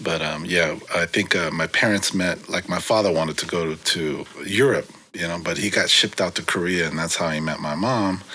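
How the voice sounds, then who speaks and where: A man's very deep, low voice in a Californian accent, relaxed in tone, with ordinary pitch variation, a moderate pace and noticeable background noise. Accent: Californian American English. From San Francisco, California. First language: Korean. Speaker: graffiti writer. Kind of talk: casual interview. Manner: relaxed, many fillers.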